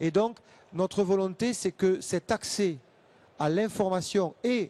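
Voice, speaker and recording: In a Toulouse accent, a man with a high pitch and a dark, mellow tone speaks at a very slow pace with ordinary pitch variation, in a dry, close sound with no echo against a quiet background. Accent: southern French (Toulouse area). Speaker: association representative for the visually impaired. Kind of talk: panel debate.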